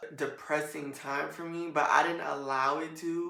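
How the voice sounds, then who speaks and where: A woman speaks at a very deep, low pitch. Audible room echo surrounds her voice. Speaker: podcast host. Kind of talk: solo podcast monologue. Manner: casual, rambling.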